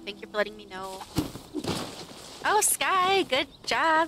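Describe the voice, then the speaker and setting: Over clear music in the background, a woman mumbles at a fairly slow pace, the sound dry with no echo. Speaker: game streamer. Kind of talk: live game stream chat. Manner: soft-spoken; mumbling. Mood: warm, friendly. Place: home room.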